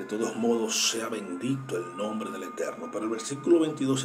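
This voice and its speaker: With music playing in the background, a man's voice carries audible room echo. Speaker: Bible teacher. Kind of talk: Bible study talk. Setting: at home, early morning. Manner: soft-spoken.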